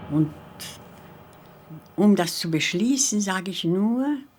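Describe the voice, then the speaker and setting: A woman's medium-pitched voice at a very slow pace, full of very wide pitch swings. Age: 90s. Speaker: Holocaust survivor musician. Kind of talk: interview testimony.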